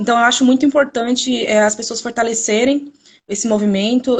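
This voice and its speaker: A woman speaks at a moderate pace, somewhat breathy, with fairly even intonation. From Brazil, São Paulo state. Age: 20s. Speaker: museology student. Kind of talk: live stream presentation. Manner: hesitant, repeats words.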